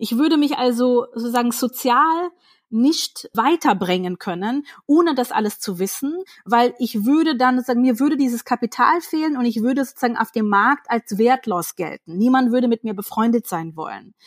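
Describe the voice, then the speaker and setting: Speaking at a moderate pace, a woman with a high pitch and lively intonation comes through on a very clean recording with a silent background and a dry, close sound with no echo. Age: 30s. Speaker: author. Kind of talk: interview conversation.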